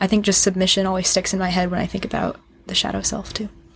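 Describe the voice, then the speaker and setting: The voice is somewhat breathy, with a flat, monotone intonation, and it moves at a very fast pace. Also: woman. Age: 20s. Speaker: podcast guest, singer. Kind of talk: casual chat.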